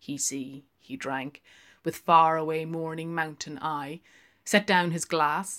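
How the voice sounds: A woman talks at a slow pace with a low pitch. Her tone is fairly bright and her intonation fairly even.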